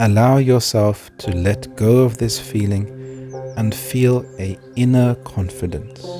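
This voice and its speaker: Music plays in the background as a man speaks at a very slow pace. His voice has a medium pitch. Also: ordinary pitch variation. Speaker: meditation guide. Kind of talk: guided meditation.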